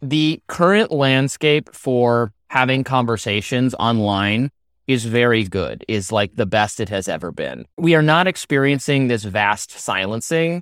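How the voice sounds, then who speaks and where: In a very clean recording with a silent background and a dry, close sound with no echo, a man speaks at a medium pitch with lively intonation. His pace is fairly slow, with hardly any pauses. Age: 30s. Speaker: journalist and author. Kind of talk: casual chat. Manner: halting.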